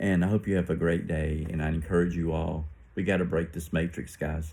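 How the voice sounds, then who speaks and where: With an American accent, a man talks at a fairly quick pace in a very deep, low pitch, with a dark, mellow tone and monotone, flat intonation. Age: 60s. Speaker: religious vlogger. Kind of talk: casual monologue. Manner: halting.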